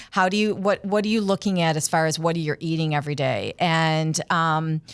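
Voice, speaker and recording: An unremarkable speaking voice at a moderate pace, with ordinary pitch variation and very even loudness, on a very clean recording with a silent background. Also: woman, fairly low pitch for a woman. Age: 60s. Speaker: retired occupational therapist and naturopath. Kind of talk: casual interview.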